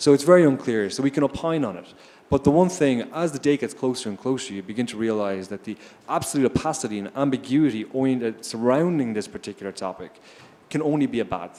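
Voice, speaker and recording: Talking very fast with an Irish accent, a man with a dark, mellow tone and medium pitch uses lively intonation and big swings in loudness. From Ireland. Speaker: investor on a finance panel. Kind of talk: panel discussion.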